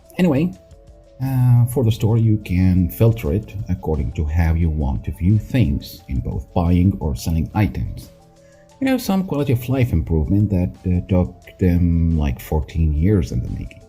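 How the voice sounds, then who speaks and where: Music plays in the background as a man speaks at a moderate pace. His very deep, low pitch shows very wide pitch swings. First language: not English. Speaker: gaming YouTuber. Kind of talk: casual game commentary.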